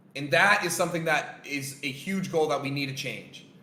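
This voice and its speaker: An animated male voice with audible room echo and noticeable background noise. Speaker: trading coach. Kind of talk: lecture. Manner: loud.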